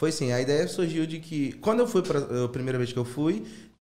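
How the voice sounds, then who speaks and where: A man speaks at a fairly quick pace, with audible room echo around him. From Rio de Janeiro (São Cristóvão). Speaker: former teacher turned stand-up comedian. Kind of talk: casual chat.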